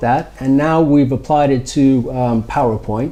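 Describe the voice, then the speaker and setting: There is noticeable background noise. A man with an American accent speaks with ordinary pitch variation. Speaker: startup founder or executive. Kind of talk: interview. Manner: hesitant with many fillers.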